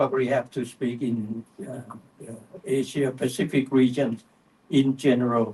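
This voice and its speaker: A man's dark, mellow, somewhat breathy voice at a medium pitch, fairly slow, with fairly even intonation. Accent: Thai. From Thailand. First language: Thai. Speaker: panel speaker, vaping advocate. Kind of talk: panel discussion. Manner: halting, many fillers.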